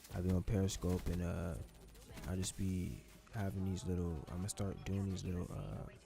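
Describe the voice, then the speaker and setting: The man's very deep, low voice is somewhat breathy and dark and mellow in tone, with ordinary pitch variation. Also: moderate pace. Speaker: YouTuber, gaming commentator. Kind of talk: casual storytime vlog over gameplay.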